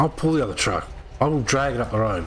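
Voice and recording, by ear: Speaking fast, a man uses a medium pitch, a fairly bright tone and lively intonation.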